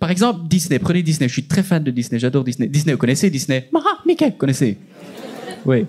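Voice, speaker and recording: A man with a Liège accent, high-pitched and animated in tone, at a fairly quick pace, over noticeable background noise. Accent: Belgian French, Liège. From Belgium, Liège. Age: 20s. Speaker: stand-up comedian. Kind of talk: stand-up. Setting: stage with audience.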